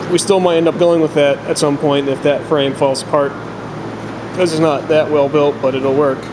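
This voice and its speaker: A man talks at a moderate pace in a monotone, flat delivery. Noticeable background noise runs underneath. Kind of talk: casual project walkthrough. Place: workshop.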